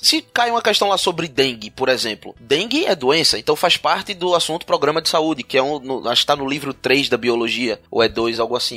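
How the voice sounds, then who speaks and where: The sound is dry and close with no echo as a man's pitch swings very widely. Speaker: teacher and podcast host. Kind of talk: casual chat.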